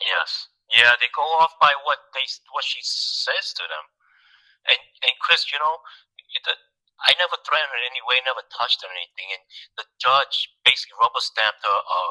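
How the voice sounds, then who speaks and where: Dry, close male voice with a Thai accent and no echo, fairly quick yet with long, frequent pauses and big swings in loudness. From Thailand. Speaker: client seeking custody advice. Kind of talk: consultation call. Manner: halting.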